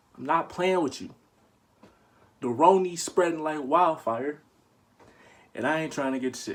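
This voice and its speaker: A man's quiet voice sounds strained. His pitch varies in an ordinary way. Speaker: YouTuber. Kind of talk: comedic tutorial. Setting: bedroom at home. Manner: loud; restrained, kept quiet.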